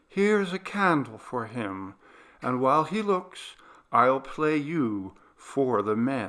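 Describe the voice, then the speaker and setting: Soft-spoken and in a put-on character voice, a man talks at a medium pitch and a fairly slow pace in a very clean recording with a silent background. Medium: read story. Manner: quiet, menacing.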